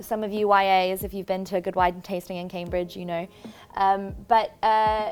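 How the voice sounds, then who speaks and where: A woman with a South African accent speaks at a medium pitch in a monotone, flat way. The recording is very clean, with a silent background. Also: moderate pace. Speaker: church communications and production pastor. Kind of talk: casual interview. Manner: hesitant with fillers.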